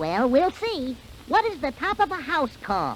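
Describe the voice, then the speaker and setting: A high put-on character voice moves at a moderate pace with very wide pitch swings. Clear background noise is present. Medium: read story. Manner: chuckling, upbeat.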